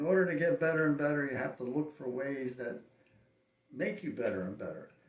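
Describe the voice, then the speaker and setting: A man's voice with audible room echo. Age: 80s+. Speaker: cowboy action shooter. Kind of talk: interview. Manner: halting.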